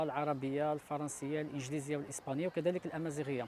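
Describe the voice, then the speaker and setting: With a Moroccan accent and a dark, mellow tone, a man at a fairly high pitch talks at a fairly quick pace with fairly even intonation, in a dry sound with no echo and light background noise. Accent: Moroccan Darija. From Morocco. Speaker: beach library organizer. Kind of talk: interview. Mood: friendly, proud. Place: beach. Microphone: lapel.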